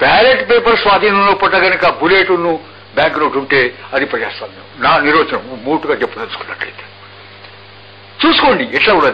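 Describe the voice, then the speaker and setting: High-pitched for a man, his voice swings very widely in pitch while his loudness stays very even, over noticeable background noise. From Warangal, Telangana, India. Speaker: poet and freedom fighter. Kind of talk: radio interview answer. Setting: radio interview.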